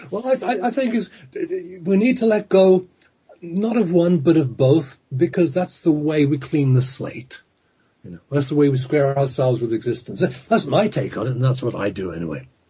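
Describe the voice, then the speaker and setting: A man with an English accent has a fairly high pitch and a dark, mellow, somewhat breathy tone. He moves at a moderate pace, with very wide pitch swings and big swings in loudness. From England. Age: 60s. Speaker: hypnotherapist and author. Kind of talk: radio interview.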